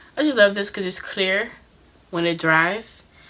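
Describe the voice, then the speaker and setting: Noticeable background noise and a woman talking at a moderate pace. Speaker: beauty vlogger. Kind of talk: tutorial. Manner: casual.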